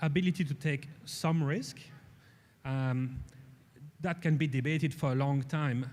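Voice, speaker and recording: With a European accent, a man speaks at a fairly slow pace and a fairly high pitch. His voice is somewhat breathy, his intonation fairly even. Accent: European accent, noticeable. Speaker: space industry executive. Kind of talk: panel discussion. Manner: halting, many fillers and repetitions.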